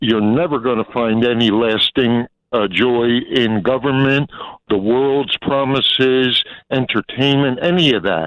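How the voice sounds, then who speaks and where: A man speaks with a normal speaking voice at a medium pitch. His pace is fairly slow, and his pitch varies in an ordinary way. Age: 60s. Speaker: caller. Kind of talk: call-in phone comment. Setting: phone call.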